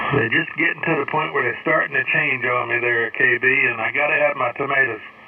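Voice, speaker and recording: The speaker is a man with an American accent. He talks at a fairly quick pace against noticeable background noise. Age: 60s. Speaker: ham radio operator. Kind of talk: amateur radio contact. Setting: radio transmission.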